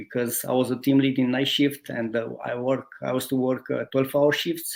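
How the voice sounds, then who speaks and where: With a Romanian accent, a man speaks at medium pitch and a moderate pace. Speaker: guest, former automotive team lead. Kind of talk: interview, telling life story. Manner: halting, many hesitations.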